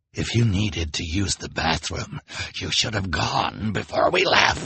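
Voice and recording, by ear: A put-on character voice, bright and sharp in tone with a husky, rough edge, growling and vocal fry, lively intonation and a slow pace. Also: man, low pitch for a man.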